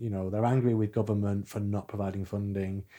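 A man's fairly low, dark, mellow voice in a monotone, flat intonation, on a very clean recording with a silent background. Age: 40s. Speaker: artist and mental health activist. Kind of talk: interview.

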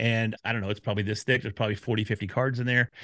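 A man at medium pitch with an American accent. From Texas, Dallas. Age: 50s. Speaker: podcast community expert. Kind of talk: interview. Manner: casual.

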